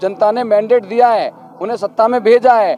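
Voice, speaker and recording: Against noticeable background noise, a man speaks at a moderate pace in a high voice. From Delhi (Badarpur). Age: young. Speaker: election candidate. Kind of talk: interview.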